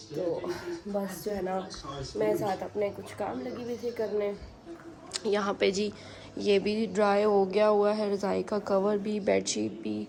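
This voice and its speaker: A woman speaks at a medium pitch and a fairly slow pace, with fairly even intonation. Noticeable background noise runs under her voice. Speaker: family vlogger. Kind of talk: casual vlog narration.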